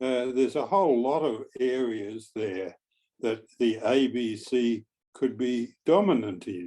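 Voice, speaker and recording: Speaking at a very slow pace, a man uses a dark, mellow tone with lively intonation. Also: medium pitch for a man. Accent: Australian. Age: 80s+. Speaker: retired journalist. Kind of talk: audience question in panel discussion. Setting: video call.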